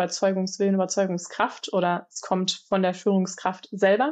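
Against a quiet background, a woman with an unremarkable speaking voice talks at a moderate pace and a medium pitch. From Germany, Aachen. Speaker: research scientist. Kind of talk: podcast interview.

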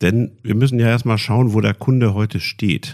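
A man speaks at a moderate pace in a fairly low pitch with a plain, everyday voice, on a very clean recording with a silent background. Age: 50s. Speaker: IT company executive. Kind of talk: podcast interview.

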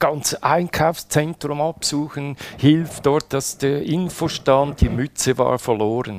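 Very slowly, a man talks in a fairly high pitch. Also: ordinary pitch variation. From Switzerland. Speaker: widower telling his love story. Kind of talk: personal testimony interview. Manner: halting, with many fillers and repetitions.

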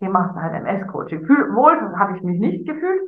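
There is audible room echo as a woman speaks at a medium pitch. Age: 50s. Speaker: life coach. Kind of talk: casual chat.

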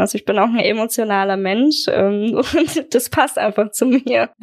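A woman's fairly high, normal speaking voice at a moderate pace, with ordinary pitch variation. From Germany, Aschaffenburg (Lower Franconia). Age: 20s. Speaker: wedding photographer. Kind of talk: casual interview.

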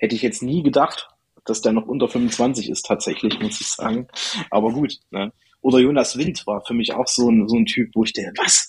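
The delivery comes at a moderate pace in an unremarkable speaking voice. The intonation is fairly even. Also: man, medium pitch for a man. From Thuringia, Erfurt. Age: 20s. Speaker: football meme page creator. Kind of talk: casual chat.

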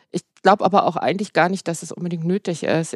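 In a dry, close recording with no echo, a woman speaks at a fairly quick pace with a fairly low pitch. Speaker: pharmacist and health journalist. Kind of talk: interview conversation. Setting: at her workplace.

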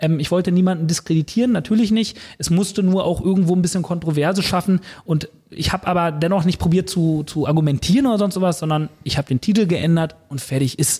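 At a very fast pace, a man speaks in a dark, mellow tone, his pitch high with ordinary variation. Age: 30s. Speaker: personal trainer. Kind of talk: casual chat.

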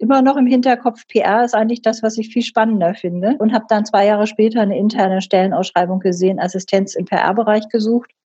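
A woman's somewhat breathy, dark, mellow voice at a fairly high pitch and a very fast pace. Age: 60s. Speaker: company board member and professor. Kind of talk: interview.

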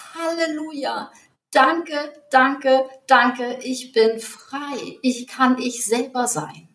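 This woman speaks very slowly with a high pitch. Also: ordinary pitch variation, big swings in loudness. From North Frisia, northern Germany. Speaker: coach, podcast co-host. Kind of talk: casual chat; guided meditation. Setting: home recording, separate rooms.

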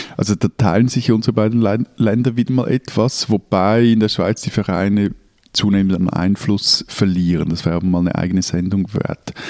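A man's fairly low, dark, mellow voice at a moderate pace, with fairly even intonation and a dry, close sound with no echo. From Switzerland, Zurich. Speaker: newspaper editor, podcast co-host. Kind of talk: casual chat.

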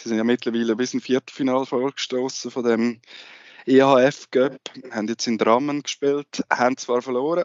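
In a monotone, flat delivery, a man speaks at medium pitch and moderate pace. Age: 30s. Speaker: sports journalist, co-host. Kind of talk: casual interview.

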